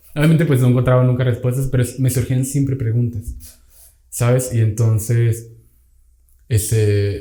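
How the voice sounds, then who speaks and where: Somewhat breathy and dark, mellow in tone, a man's voice sits at medium pitch with fairly even intonation. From Venezuela. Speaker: podcast guest. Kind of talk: casual chat.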